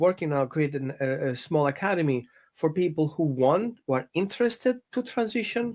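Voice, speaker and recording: A man with a non-native accent talks at a moderate pace. His fairly high voice has lively intonation. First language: not English. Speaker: dog trainer. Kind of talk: interview conversation. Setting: podcast. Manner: halting.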